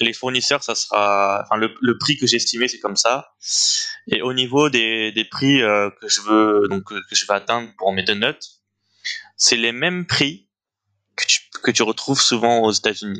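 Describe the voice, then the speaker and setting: At a fairly slow pace, a man with a bright, sharp tone speaks at medium pitch with ordinary pitch variation. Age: 20s. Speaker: young entrepreneur, donut shop founder. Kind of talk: interview. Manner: hesitant, many fillers.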